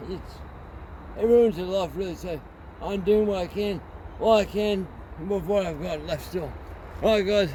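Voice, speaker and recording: A man mumbles at a high pitch. Audible room echo surrounds his voice. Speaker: chainsaw video maker. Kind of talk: casual tutorial. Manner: mumbling; halting.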